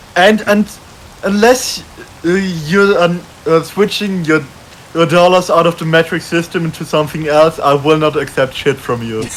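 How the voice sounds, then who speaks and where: Long, frequent pauses break up the speech, and there is noticeable background noise. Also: moderate pace. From Germany. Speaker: streamer. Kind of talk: casual chat.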